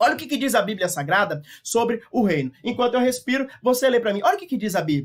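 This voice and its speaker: A man talks at a very fast clip with hardly any pauses, his extremely high pitch swinging very widely and his loudness rising and falling sharply. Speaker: Bible teacher. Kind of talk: lecture.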